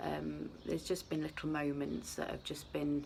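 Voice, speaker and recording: Soft-spoken, a woman talks with a British accent. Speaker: vlogger. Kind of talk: casual vlog chat. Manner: hesitant.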